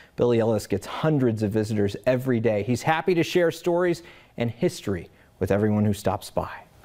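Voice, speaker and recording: Over a quiet background, a man talks at a fairly quick pace with lively intonation and a dark, mellow tone. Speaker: TV news anchor. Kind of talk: TV news anchor read. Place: studio. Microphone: lapel.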